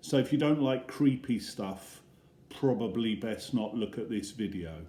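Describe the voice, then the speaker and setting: A dark, mellow tone with an English accent, ordinary pitch variation and a fairly slow pace. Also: man. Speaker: primary school teacher. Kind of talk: reading aloud. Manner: soft-spoken. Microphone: iPad mic, no microphone.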